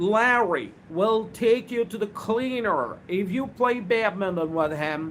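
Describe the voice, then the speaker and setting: The voice moves at a very slow pace with lively intonation and hardly any pauses. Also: man, high pitch for a man. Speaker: spoken English trainer. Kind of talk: live online English lesson. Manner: repetitive.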